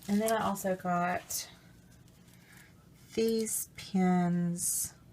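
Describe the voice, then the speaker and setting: A woman with an Alabama accent speaks very slowly at a medium pitch, somewhat breathy and flat in tone. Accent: Southern US (Alabama). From US South, Alabama. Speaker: crafts vlogger. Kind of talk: product haul review. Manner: casual, hesitant with fillers.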